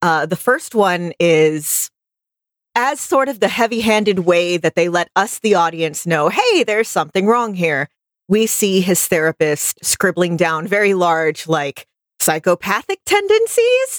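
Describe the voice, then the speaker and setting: Speaking fairly slowly with an American accent, a woman has a medium pitch and ordinary pitch variation. Her loudness is very even, and the sound is dry and close with no echo. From US South. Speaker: podcast co-host. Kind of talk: casual chat. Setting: studio, livestreamed.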